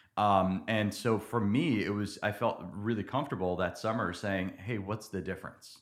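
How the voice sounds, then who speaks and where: A plain, everyday voice with an American accent moves at a moderate pace with hardly any pauses. Its pitch shows ordinary variation. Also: man, fairly low pitch for a man, very clean recording, silent background. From New Jersey. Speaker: church member. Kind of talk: interview testimony.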